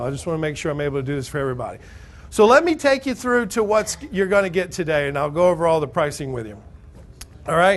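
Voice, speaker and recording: This man speaks loudly. He has an American accent. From Alabama. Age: 30s. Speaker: real estate investing seminar speaker. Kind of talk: sales pitch. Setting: stage with audience. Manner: animated.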